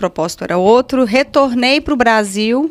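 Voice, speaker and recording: In a Minas Gerais accent, a woman speaks at a fairly slow pace with ordinary pitch variation. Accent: Minas Gerais (mineiro). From Brazil, Minas Gerais (Patos de Minas). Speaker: physical education professional. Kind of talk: casual chat.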